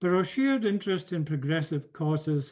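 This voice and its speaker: A man with a British accent and a dark, mellow tone, fairly high in pitch, with ordinary pitch variation, a moderate pace, and a quiet background. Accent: regional British accent, retained. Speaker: professor. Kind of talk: lecture. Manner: formal.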